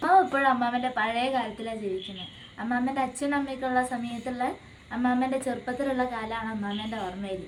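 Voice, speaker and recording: A woman's high voice with ordinary pitch variation over noticeable background noise. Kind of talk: casual family vlog talk to camera.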